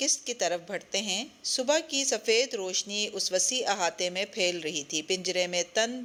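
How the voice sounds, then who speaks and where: With lively intonation, this is an unremarkable speaking voice. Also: woman. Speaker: audiobook narrator. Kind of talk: audio novel reading.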